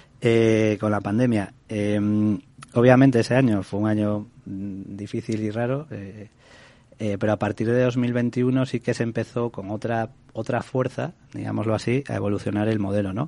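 With a dark, mellow tone, a man speaks at a fairly slow pace in a fairly low pitch and with fairly even intonation. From Galicia, Spain. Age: 40s. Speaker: rent-to-own housing executive. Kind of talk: radio interview. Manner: hesitant, many repetitions.

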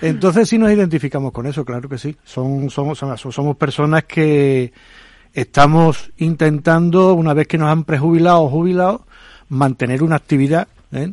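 In an unremarkable speaking voice, a fairly high-pitched man speaks at a moderate pace with ordinary pitch variation, the sound dry and close with no echo and the background quiet. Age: 60s. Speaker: retired executive volunteer. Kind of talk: radio panel discussion.

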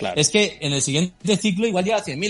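Over noticeable background noise, a man speaks at a fairly high pitch with very wide pitch swings. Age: 40s. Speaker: crypto startup CEO. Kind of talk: interview.

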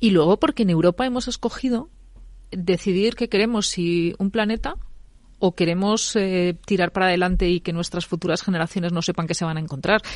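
Against a quiet background, a woman speaks at a fairly quick pace. She has an ordinary speaking voice at medium pitch, with ordinary pitch variation. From Castilla y León. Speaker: political commentator. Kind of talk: panel discussion.

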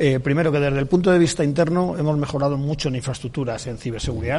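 This man's voice is fairly high with ordinary pitch variation. He speaks very fast. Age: 60s. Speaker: public sector IT manager. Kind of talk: radio interview. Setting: live broadcast from a library.

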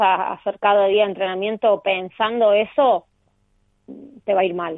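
Speaking at a fairly high pitch and a moderate pace, this woman has an ordinary speaking voice. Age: 30s. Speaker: professional padel player. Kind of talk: interview.

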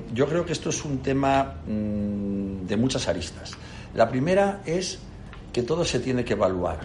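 Pitched in the middle range, a man talks at a fairly slow pace with very wide pitch swings. Room echo is audible, and background noise is noticeable. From Spain, Castile and León (León). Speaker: company CEO. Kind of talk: interview.

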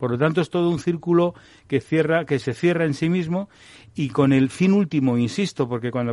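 Speaking at a fairly quick pace, a man uses a normal speaking voice, fairly high in pitch with ordinary pitch variation. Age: 60s. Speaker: doctor and health technology executive. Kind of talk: radio panel discussion.

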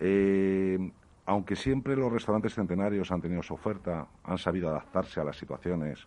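A man speaks at a fairly quick pace. His very deep, low voice has a dark, mellow tone. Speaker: restaurant owner and association president. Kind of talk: interview.

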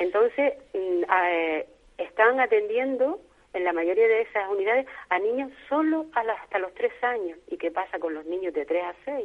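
Her fairly high voice swinging very widely in pitch, a woman speaks at a fairly slow pace. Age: 70s. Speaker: retired teacher and early-intervention advocate. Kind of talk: radio interview.

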